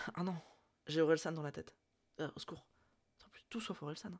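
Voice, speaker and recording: The recording is very clean, with a silent background. A woman's voice is heard. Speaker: streamer. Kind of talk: casual chat. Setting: live stream. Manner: hesitant, many fillers.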